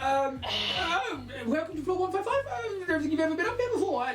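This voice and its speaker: An extremely high, put-on character voice races at a very fast pace over loud background noise. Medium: actual play. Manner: hesitant, stammering, polite.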